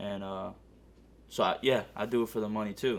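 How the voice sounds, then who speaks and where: This man talks with an American accent and a fairly low pitch. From US Northeast (Connecticut) and California. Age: 20s. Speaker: amateur MMA fighter. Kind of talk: documentary interview. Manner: casual, filler-heavy.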